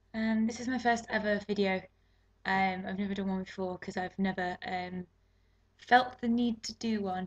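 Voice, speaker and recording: Somewhat breathy, a woman talks with fairly even intonation in a British accent. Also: medium pitch for a woman. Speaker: beauty vlogger. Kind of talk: casual talk to camera. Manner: fast, awkward.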